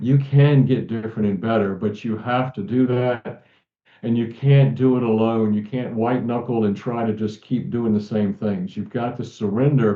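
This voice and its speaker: A man with an American accent and a plain, everyday voice, medium in pitch, at a moderate pace with ordinary pitch variation. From central Virginia. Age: 60s. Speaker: author and abuse survivor advocate. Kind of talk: interview.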